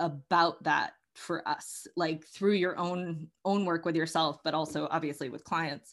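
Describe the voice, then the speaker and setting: A woman with an American accent and a fairly low pitch talks at a fairly slow pace in a plain, everyday voice. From Massachusetts, US Northeast. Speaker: podcast host and coach. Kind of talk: casual conversational interview.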